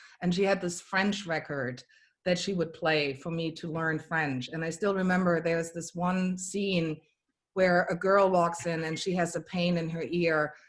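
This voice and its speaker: Her pitch fairly low, a woman talks at a moderate pace with fairly even intonation. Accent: strong German. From Germany. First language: German. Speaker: comedian. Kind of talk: casual chat. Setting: video call.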